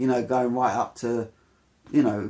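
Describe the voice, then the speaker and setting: A woman with a very deep, low pitch speaks in a British accent at a fairly quick pace. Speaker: YouTube storyteller. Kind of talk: casual chat. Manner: halting.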